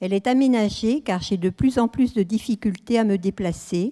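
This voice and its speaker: Her fairly high-pitched voice carries a dark, mellow tone at a fairly slow pace. The sound is dry and close, with no echo. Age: 80s+. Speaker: elderly widow giving testimony. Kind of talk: testimony.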